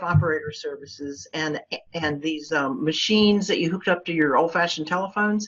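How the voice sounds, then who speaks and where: Noticeable background noise sits behind this woman's voice. She talks at a fairly quick pace with a fairly low pitch. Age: 60s. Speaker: local marketing agency owner. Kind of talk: interview.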